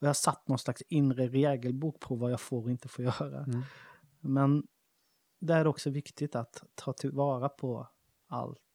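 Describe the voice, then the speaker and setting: The recording is very clean with a silent background, capturing a man's dark, mellow tone and flat, monotone intonation in a dry, close sound with no echo. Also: medium pitch for a man, moderate pace. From Småland, Sweden. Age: 40s. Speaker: chef and shop owner. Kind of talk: casual interview.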